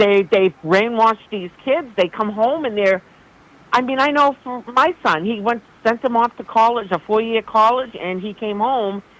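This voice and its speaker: A Boston accent with ordinary pitch variation at a moderate pace. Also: woman, fairly high pitch for a woman. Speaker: caller. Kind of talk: call-in conversation. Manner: animated.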